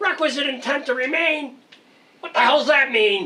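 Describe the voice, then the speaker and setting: Someone uses a put-on character voice with a high pitch at a moderate pace. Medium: stage play. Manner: exasperated.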